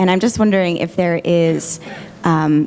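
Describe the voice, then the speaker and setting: The speaker is soft-spoken, with ordinary pitch variation at a moderate pace. Noticeable background noise is present. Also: woman. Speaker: audience member asking a question. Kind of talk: audience question. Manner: hesitant, many fillers.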